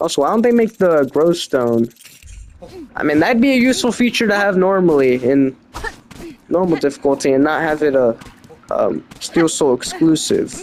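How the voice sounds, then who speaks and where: Against noticeable background noise, a man with a fairly high voice speaks at a moderate pace, making very wide pitch swings and long, frequent pauses. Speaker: gaming video creator. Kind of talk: casual gameplay commentary. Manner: halting.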